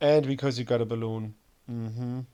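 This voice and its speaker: A man with a dark, mellow tone speaks at a medium pitch and a fairly quick pace, using ordinary pitch variation. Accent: German. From Germany. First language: German. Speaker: gaming streamer. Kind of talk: gameplay commentary. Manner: halting, with many fillers and repetitions.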